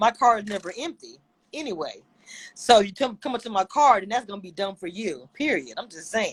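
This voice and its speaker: A woman with a Southern US accent speaks at a fairly high pitch in an animated tone with lively intonation, in a dry, close sound with no echo. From Louisiana. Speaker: YouTube reviewer. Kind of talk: casual chat.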